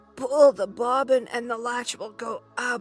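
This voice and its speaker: A man's put-on character voice at an extremely high pitch, with fairly even intonation, a moderate pace, and faint music in the background. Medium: read story.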